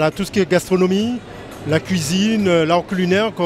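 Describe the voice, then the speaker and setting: Over music in the background, the man talks with a high pitch. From Martinique, Le Carbet. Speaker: video interviewer. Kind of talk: interview. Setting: food fair.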